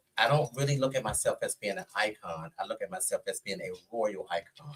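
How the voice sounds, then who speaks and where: A man talks at a fairly quick pace. The sound is dry and close, with no echo. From Washington DC (Southeast/Southwest). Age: 60s. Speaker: go-go scene figure, podcast guest. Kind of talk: casual interview storytelling.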